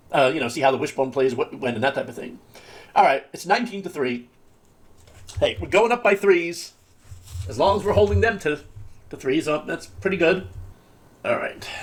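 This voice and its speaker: A man's fairly high voice with vocal fry, a fairly quick pace, very wide pitch swings and long, frequent pauses. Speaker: gaming video creator. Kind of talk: gameplay commentary. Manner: fast; halting, repeats words.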